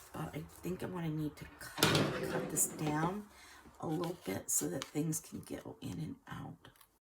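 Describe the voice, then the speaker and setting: A woman speaking at a fairly slow pace, with noticeable background noise. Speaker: junk journal crafter. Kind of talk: casual craft talk to camera. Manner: hesitant, thinking aloud.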